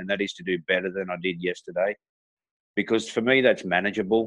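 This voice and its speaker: This man has a fairly low voice and an Australian accent. His intonation stays fairly even. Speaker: entrepreneur and motivational speaker. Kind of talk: interview.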